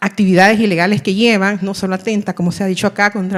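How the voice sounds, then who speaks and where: A woman speaks at a very fast pace. Her intonation stays fairly even. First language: Miskito (speaking Spanish). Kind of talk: audience question at panel. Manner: halting, many fillers.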